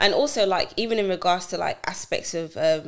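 Speaking at a fairly quick pace in a British accent, a woman uses a medium pitch with ordinary pitch variation on a very clean recording with a silent background. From UK, of Nigerian heritage. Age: 20s. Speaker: cloud engineering manager. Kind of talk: casual chat.

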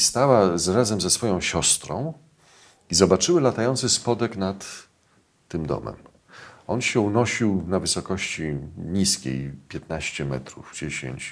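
A man's fairly low, vocal-fry voice at a very slow pace, with very wide pitch swings. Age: 50s. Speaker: journalist and UFO researcher. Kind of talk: casual interview.

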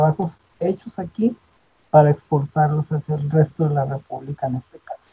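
A man speaks at a moderate pace in a dark, mellow, somewhat breathy voice, fairly high in pitch with ordinary variation. The sound is dry and close, with no echo. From northern Mexico, Monterrey. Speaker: theatre director and retired physician. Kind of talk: interview.

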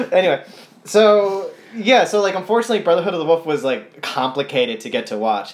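Over noticeable background noise, a man races along at a very fast pace in a high pitch with very wide pitch swings. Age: 30s. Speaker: podcast guest, movie fan. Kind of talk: casual chat.

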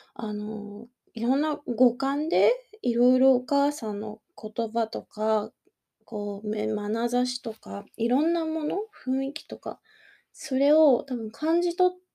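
The woman's pitch is fairly high, with lively intonation and a dark, mellow tone. The sound is dry and close, with no echo. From Kanagawa, Japan. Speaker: podcast host, life coach and working mother. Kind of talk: casual solo podcast talk.

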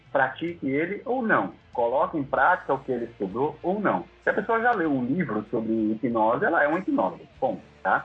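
At a moderate pace, a man talks in a fairly high voice with very wide pitch swings. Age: 30s. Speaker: hypnotherapist. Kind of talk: interview.

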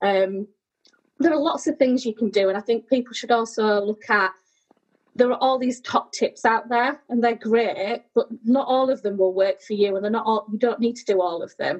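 Speaking with a British accent, a woman keeps her voice at a fairly high pitch. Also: ordinary pitch variation, moderate pace. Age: 30s. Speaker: sleep charity executive. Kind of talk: casual interview chat.

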